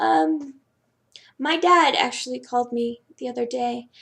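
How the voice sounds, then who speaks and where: Speaking at a fairly slow pace, a woman talks with an American accent. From US Northeast (Staten Island, New York). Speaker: student vlogger. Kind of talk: casual vlog. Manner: hesitant, many fillers.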